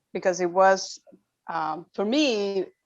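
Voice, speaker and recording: A woman's fairly low-pitched voice with a non-native accent. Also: quiet background. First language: not English. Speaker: workshop co-facilitator. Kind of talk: workshop debrief.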